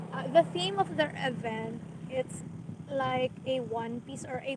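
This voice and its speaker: Over noticeable background noise, a woman talks at a very slow pace. Her pitch is fairly high, with a Filipino accent. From Philippines. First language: Filipino language. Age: 20s. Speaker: crochet teacher. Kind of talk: live-stream tutorial. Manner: halting.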